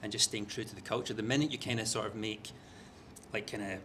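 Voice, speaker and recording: This man talks at a fairly low pitch. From Scotland, Glasgow. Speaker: media executive. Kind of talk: panel interview.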